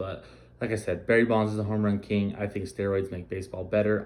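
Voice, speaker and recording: A man talks at a fairly quick pace. His pitch sits fairly low. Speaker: sports podcast host. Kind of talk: casual sports talk podcast. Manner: slurring words; casual, profane.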